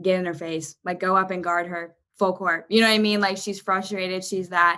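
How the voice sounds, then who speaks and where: A woman talks at a fairly quick pace in a medium pitch. Her tone is energetic, bright and sharp. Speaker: basketball coach. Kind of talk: interview. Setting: podcast.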